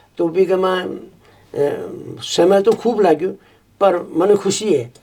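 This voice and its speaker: This man's high-pitched voice comes through noticeable background noise. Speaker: retired teacher and school principal. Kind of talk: interview.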